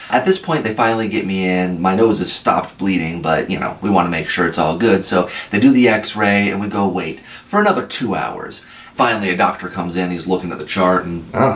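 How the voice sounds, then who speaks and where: With a Midwestern US accent, a man speaks at a fairly low pitch and a fairly quick pace, with ordinary pitch variation and noticeable background noise. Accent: US Midwest. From Iowa. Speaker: army veteran. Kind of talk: storytelling. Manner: animated.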